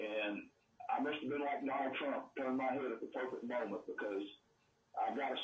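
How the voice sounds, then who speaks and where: A man is speaking. Room echo can be heard. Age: 70s. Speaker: caller. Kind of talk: casual chat.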